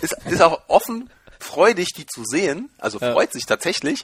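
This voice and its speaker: The recording is very clean, and the background is silent. A man talks with very wide pitch swings. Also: dry, close sound with no echo. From Germany. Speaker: podcast guest, lacrosse player. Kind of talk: casual interview.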